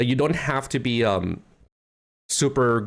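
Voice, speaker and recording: On a very clean recording with a silent background, a man with a non-native accent speaks at a moderate pace. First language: not English. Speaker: streamer reacting to a video. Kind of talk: casual livestream commentary. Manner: halting.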